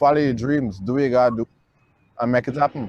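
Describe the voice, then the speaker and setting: A man with a Guyanese accent has a dark, mellow tone. The sound is dry and close, with no echo. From Guyana. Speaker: filmmaker. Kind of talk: personal testimony.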